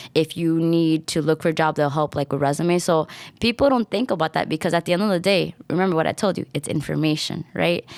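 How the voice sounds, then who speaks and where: A woman's very fast, animated American-accented speech at a fairly low pitch, with ordinary pitch variation and hardly any pauses, on a very clean recording with a silent background. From New York City (Washington Heights). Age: 30s. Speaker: school library media specialist. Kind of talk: casual interview.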